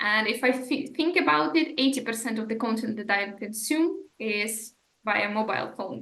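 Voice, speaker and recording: A woman with a non-native accent speaks at a fairly slow pace, her fairly high voice bright and sharp in tone with ordinary pitch variation. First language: not English. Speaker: podcast host. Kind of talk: podcast interview.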